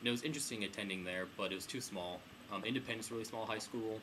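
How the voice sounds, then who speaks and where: This is a man speaking. He has a Midwestern accent. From US Midwest, Kansas (Wichita). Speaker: student interviewee. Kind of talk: interview.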